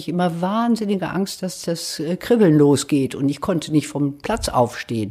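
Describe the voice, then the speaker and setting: A woman's fairly low voice, dark and mellow in tone, moves at a moderate pace. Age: 70s. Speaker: patient interviewee. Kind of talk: interview. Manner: hesitant with fillers.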